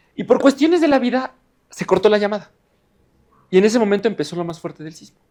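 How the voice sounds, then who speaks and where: With lively intonation and a high pitch, a man talks at a very fast pace. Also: long, frequent pauses, big swings in loudness. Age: 20s. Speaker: geophysics engineer and science communicator. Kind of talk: lecture. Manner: halting.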